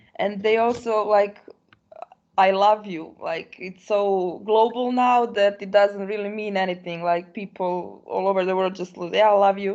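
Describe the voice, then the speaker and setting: At a moderate pace, a woman with a non-native accent speaks in a medium pitch and fairly even intonation. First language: not English. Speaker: program participant. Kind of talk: casual discussion.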